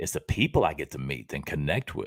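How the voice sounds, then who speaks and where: In a very clean, dry, close recording with no echo and a silent background, a man speaks with vocal fry and very wide pitch swings. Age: 60s. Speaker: motivational show host and Elvis tribute artist. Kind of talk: motivational talk on a live stream. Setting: live stream.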